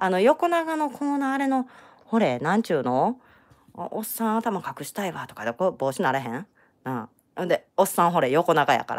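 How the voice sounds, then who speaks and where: In a Kansai accent, the speaker talks in an animated tone at a fairly quick pace, with very wide pitch swings. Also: woman. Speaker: crochet tutorial creator. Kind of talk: live-streamed crochet tutorial. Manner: chatty, animated.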